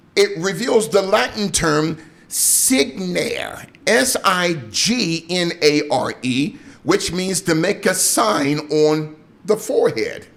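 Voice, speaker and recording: At a very slow pace, a man with high pitch and lively intonation speaks over noticeable background noise. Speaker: pastor and radio host. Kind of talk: preaching / sermon-style commentary. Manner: emphatic, rhetorical, questioning.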